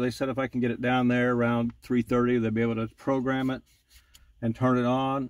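A man at a moderate pace, with a dry sound and no echo. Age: 50s. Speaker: auto mechanic. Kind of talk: tutorial. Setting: in a car. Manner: casual. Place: car. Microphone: phone near.

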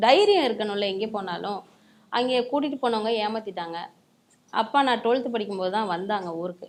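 Here a woman has an unremarkable speaking voice, pitched fairly high, with ordinary pitch variation. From Tamil Nadu, Pudukkottai district village. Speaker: folk singer and music lecturer. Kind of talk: interview.

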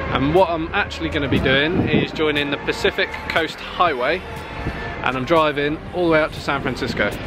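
A man talks at a fairly quick pace in a dry sound with no echo. Music plays in the background. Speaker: travel vlogger. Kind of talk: casual vlog chat. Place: beach. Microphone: phone near.

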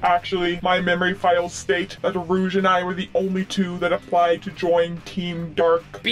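A man puts on a high-pitched character voice, barely pausing at all. His pace is moderate, with clear background noise behind him. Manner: flat, robotic, formal.

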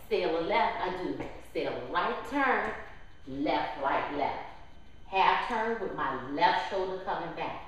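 A very slow pace with very wide pitch swings in strong room echo. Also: woman. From New Orleans, Louisiana. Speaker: line dance instructor. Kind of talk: dance class tutorial, step-by-step instruction with counted steps. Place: hall.

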